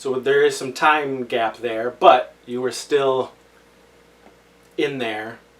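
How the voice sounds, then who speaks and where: At a very slow pace with long, frequent pauses, a man speaks loudly at a medium pitch. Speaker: podcast host. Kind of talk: casual chat.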